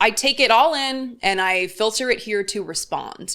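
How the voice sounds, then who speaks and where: A woman speaks in a bright, sharp tone with a sing-song lilt and ordinary pitch variation, on a very clean recording with a silent background. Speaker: political commentator. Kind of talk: commentary reading viewer comments. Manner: sing-songy, rising at ends of words.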